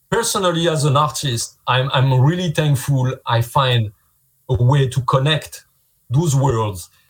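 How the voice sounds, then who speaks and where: Somewhat breathy, a man with a French accent talks at a medium pitch. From France. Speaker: visual effects artist. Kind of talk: casual interview. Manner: halting.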